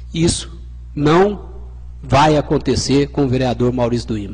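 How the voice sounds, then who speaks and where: A man at a fairly slow pace. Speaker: city councillor. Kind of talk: council debate speech. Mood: earnest, defending his stance. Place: hall. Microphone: podium.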